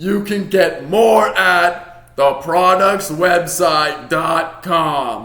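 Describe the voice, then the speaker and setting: A man puts on a character voice pitched high. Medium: read story.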